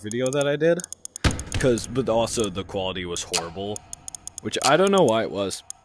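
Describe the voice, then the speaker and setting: Noticeable background noise sits behind a man's medium-pitched voice. He talks at a fairly quick pace with very wide pitch swings. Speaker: gaming youtuber. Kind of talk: gameplay commentary. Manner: hesitant, lots of fillers; trying to talk loud.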